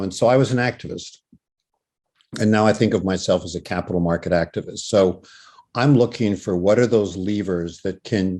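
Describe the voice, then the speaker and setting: Against a quiet background, a man speaks at a moderate pace with a fairly low pitch and a dark, mellow tone. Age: 70s. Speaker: professor. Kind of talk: masterclass talk.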